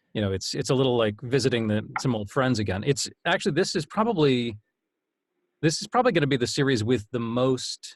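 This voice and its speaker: A man with an unremarkable speaking voice talks at medium pitch and a fairly quick pace, with ordinary pitch variation. The recording is very clean, with a silent background. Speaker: audiobook narrator. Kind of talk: interview answer. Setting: home studio.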